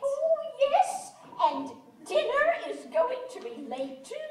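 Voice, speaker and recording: In a put-on character voice, a woman speaks fairly slowly at an extremely high pitch with a gentle tone, very wide pitch swings, big swings in loudness and a clear echo. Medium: stage play. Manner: fluttery, gentle, repeating herself.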